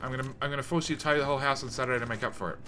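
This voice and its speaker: Music sits in the background as a man speaks at medium pitch. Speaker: video game streamer. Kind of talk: casual live-stream chat while gaming. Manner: loud; casual, filler-heavy.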